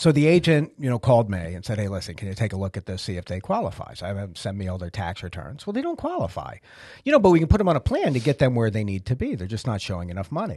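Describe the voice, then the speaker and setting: A man with an American accent talks at a very fast pace in a fairly low, dark and mellow voice that is somewhat breathy, with very wide pitch swings, in a dry recording with no echo and a quiet background. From Massachusetts. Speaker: podcast host. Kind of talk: casual chat. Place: office. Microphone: studio mic.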